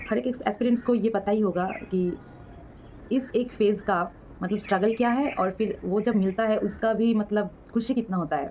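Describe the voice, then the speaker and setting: With a Bengali accent, a woman speaks at medium pitch and a moderate pace, her dark, mellow tone holding very even loudness and ordinary pitch variation. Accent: Bengali-accented Hindi. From West Bengal, India. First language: Bengali (speaking Hindi). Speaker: banking exam vlogger. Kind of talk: casual advice vlog. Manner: halting, many fillers.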